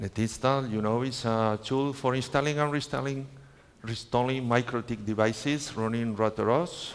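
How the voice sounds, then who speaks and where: Here a man talks with a Spanish accent at medium pitch. His pace is moderate and his pitch variation ordinary. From Spain. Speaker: network trainer. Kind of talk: conference talk. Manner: halting, with filler sounds.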